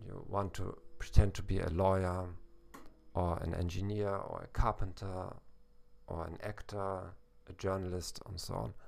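A man with a German accent speaks at a moderate pace in a very deep, low pitch. His intonation is monotone and flat, broken by long, frequent pauses. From Germany, Hamburg. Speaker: German teacher and podcast host. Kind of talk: educational monologue. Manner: hesitant, with fillers.

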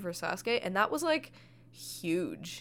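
Lively intonation in the medium-pitched voice of a woman. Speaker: podcast host. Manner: joking, sarcastic.

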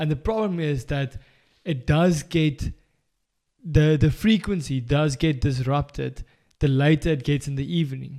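A man with a South African accent speaks at a fairly slow pace in a dark, mellow tone. His pitch is fairly high, with ordinary variation. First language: Afrikaans. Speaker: podcast co-host. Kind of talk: casual chat. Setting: studio.

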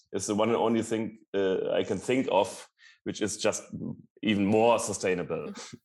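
A man's medium-pitched voice at a moderate pace, on a very clean recording with a silent background. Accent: German. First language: German. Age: 40s. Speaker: long-distance cyclist. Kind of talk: interview.

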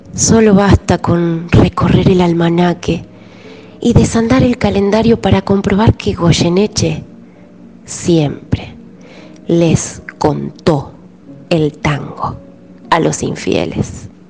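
With long, frequent pauses and a very slow pace, the speaker talks in a Rioplatense accent with ordinary pitch variation over noticeable background noise. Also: woman, fairly low pitch for a woman. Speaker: radio tango columnist. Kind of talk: radio narration.

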